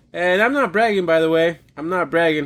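A man's high-pitched voice, animated in tone, at a very fast pace. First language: not English. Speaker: podcast host. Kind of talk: casual comedic rant show. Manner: animated, rambling, joking.

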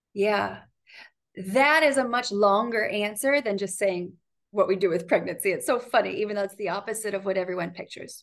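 An unremarkable speaking voice from a woman with an American accent, medium in pitch with ordinary pitch variation, at a fairly quick pace against a quiet background. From Ohio, US Midwest. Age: 30s. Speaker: physician. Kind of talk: casual interview.

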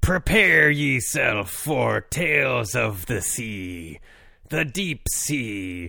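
This man is doing a put-on character voice. The sound of it is raspy. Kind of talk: theatrical podcast intro.

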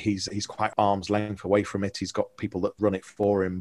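A man speaks at a fairly quick pace in a fairly low pitch. The recording is very clean with a silent background and a dry, close sound without echo. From Liverpool, England. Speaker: digital marketing company founder. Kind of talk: casual interview. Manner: hesitant, with frequent repetitions.

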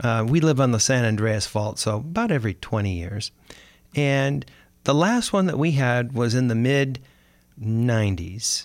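Against a silent background in a very clean recording, a man uses a normal speaking voice at medium pitch and a moderate pace, with lively intonation. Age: 60s. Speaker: podcast host, financial advisor. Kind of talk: scripted monologue; casual chat. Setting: studio.

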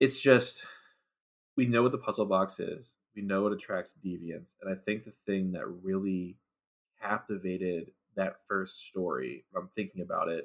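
At a moderate pace, a man with an ordinary speaking voice talks at fairly low pitch with ordinary pitch variation. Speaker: podcast co-host, guest. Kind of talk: casual chat, movie review podcast.

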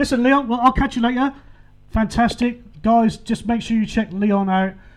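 A man with an English accent and a warm tone talks at a fairly quick pace. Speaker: radio DJ. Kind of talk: radio DJ patter. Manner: chatty, warm, jokey.

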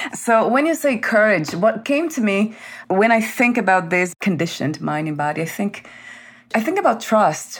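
A woman with a warm tone talks at a moderate pace with very wide pitch swings over noticeable background noise. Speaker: podcast host. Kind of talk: interview. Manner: warm, effusive.

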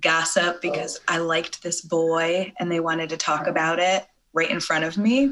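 A woman talks with an American accent and a fairly low pitch. It is an ordinary speaking voice. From Michigan, Clarkston. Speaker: podcast guest. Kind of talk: casual interview chat.

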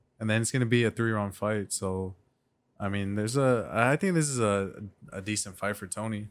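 A man with a normal speaking voice and an American accent, fairly low in pitch, fairly even in intonation, at a moderate pace, on a very clean recording with a silent background. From Mexican heritage, US. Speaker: podcast co-host. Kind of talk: casual chat.

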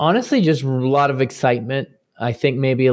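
Against a quiet background, a man with a plain, everyday voice talks at a moderate pace with fairly even intonation. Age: 40s. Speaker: father of a large family. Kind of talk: interview.

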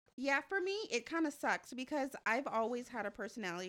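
At a fairly quick pace, a woman with an ordinary speaking voice uses lively intonation on a very clean recording with a silent background. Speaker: podcast co-host. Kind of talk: casual chat.

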